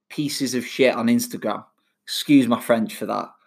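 The recording of this man is very clean, with a silent background. He speaks in a Mancunian accent with ordinary pitch variation. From Manchester, England. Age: 30s. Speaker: personal trainer podcaster. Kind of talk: solo podcast monologue. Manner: casual, laughing.

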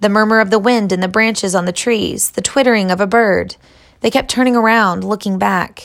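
This clip features a natural reading voice.

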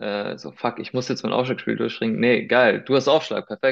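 A man at medium pitch with fairly even intonation against a quiet background. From Germany, Heidelberg, Spanish family. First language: Spanish (speaking German). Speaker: sports commentator. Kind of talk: casual chat.

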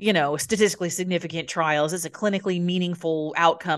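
Over a quiet background, a woman talks at a fairly quick pace in an animated tone with a fairly low pitch. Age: 40s. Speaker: medical doctor. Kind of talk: casual interview.

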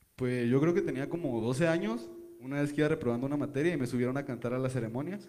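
Medium-pitched, a man talks with ordinary pitch variation. He has a plain, everyday voice. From Ensenada, Baja California, Mexico. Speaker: singer-songwriter. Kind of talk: interview.

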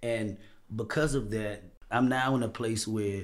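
In a plain, everyday voice, a man with an American accent speaks at a fairly slow pace, with medium pitch and fairly even intonation. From Washington, D.C. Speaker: podcast guest sharing life story. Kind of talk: casual interview, personal testimony.

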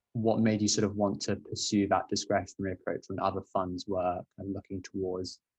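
A man talks at a fairly quick pace in a fairly low, somewhat breathy voice. His intonation stays monotone and flat. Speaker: student podcast host. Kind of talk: interview.

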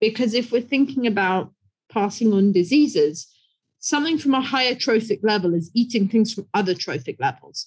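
Somewhat breathy, a woman with a British accent talks at a fairly quick pace. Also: fairly high pitch for a woman, lively intonation. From England. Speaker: conservation scientist, professor. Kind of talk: interview.

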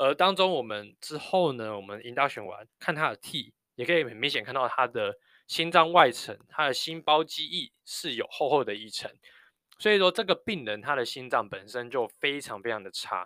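With a Taiwanese accent, a man speaks at a moderate pace in a fairly high pitch, his bright, sharp tone carried by lively intonation and big swings in loudness, on a very clean recording with a silent background and a dry, close sound with no echo. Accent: Taiwanese Mandarin. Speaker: nurse anesthetist and podcast host. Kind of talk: casual solo podcast monologue.

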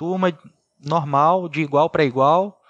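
The sound is dry and close, with no echo. Pitch varies in an ordinary way. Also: man. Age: 30s. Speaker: paraplegic kart driver. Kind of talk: interview.

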